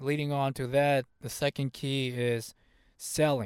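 Recorded very cleanly with a silent background and a dry, close sound with no echo, a man speaks at medium pitch with fairly even intonation. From US, Hmong immigrant family. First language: Hmong. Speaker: motivational podcast host. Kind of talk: motivational monologue.

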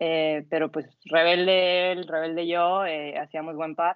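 This is a woman with a plain, everyday voice. She speaks at a moderate pace. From northwest Mexico (Sonora). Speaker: athlete and yoga instructor. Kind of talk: casual interview.

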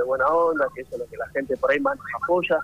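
Someone male is speaking here. Noticeable background noise runs through the clip. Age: 20s. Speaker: party organizer. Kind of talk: radio interview.

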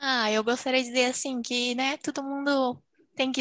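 Against a quiet background, a woman speaks at a high pitch. The sound is dry and close, with no echo. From Brazil. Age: 20s. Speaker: medical student. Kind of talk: casual chat.

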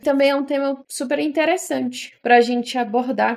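Moderate pace, with noticeable background noise. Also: woman. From Ceará, Brazil (Fortaleza). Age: 20s. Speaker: podcaster. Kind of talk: casual monologue.

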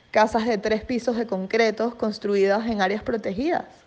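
A woman with a plain, everyday voice, fairly high in pitch, at a fairly slow pace. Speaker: environmental journalist. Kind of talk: radio interview.

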